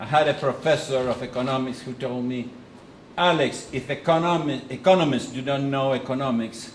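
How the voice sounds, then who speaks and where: A man with an Argentine accent at a medium pitch, talking at a fairly quick pace with fairly even intonation, amid audible room echo and noticeable background noise. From Argentina. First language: Spanish. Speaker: economist and think-tank president. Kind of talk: lecture with consecutive interpretation. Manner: halting.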